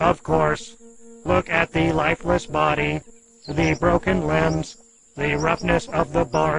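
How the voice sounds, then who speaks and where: Delivery is fairly slow. It is a put-on character voice. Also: man, medium pitch for a man. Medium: audio drama. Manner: literal, earnest.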